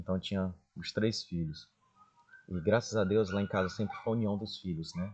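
This is an ordinary speaking voice at a moderate pace. Its pitch variation is ordinary. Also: man. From Brazil, Maranhão (Chapadinha). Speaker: pharmacy business owner. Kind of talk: interview storytelling.

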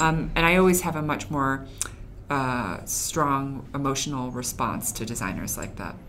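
Woman's voice with ordinary pitch variation and audible room echo. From Chinese heritage. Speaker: former magazine editor, Instagram staff. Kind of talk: casual interview.

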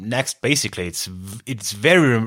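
A speaker with a German accent talks at a moderate pace on a very clean recording with a silent background. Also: man. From southern Austria (Carinthia). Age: 30s. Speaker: podcast co-host, musician. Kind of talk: casual chat. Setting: band retreat in countryside house.

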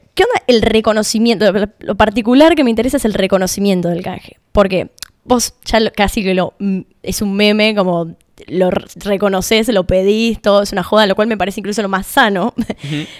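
A woman's unremarkable speaking voice at a medium pitch, with ordinary pitch variation and a moderate pace. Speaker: podcast editor. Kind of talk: interview.

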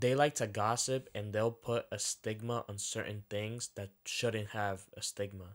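In a normal speaking voice, a man with a fairly low pitch talks at a fairly slow pace with fairly even intonation and hardly any pauses, on a very clean recording with a silent background. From Dominican-American household. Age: 20s. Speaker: podcast co-host. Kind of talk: casual chat.

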